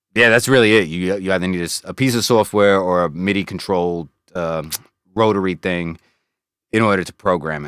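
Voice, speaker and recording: A man with an American accent speaks at a fairly quick pace in a very deep, low voice, with ordinary pitch variation and big swings in loudness, on a very clean recording with a silent background. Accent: American accent kept after years in UK. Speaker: music producer and streamer. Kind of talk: casual chat, studio tour livestream. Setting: home studio, livestream. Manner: relaxed, casual with many fillers.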